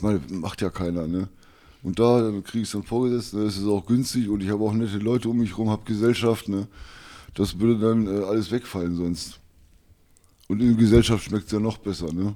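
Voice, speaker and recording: A man speaks at a fairly quick pace with a fairly low pitch, fairly even intonation and a dark, mellow tone. The recording is very clean, with a silent background. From Lower Saxony, Wolfsburg. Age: 50s. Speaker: guest living in old-age poverty. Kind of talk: interview.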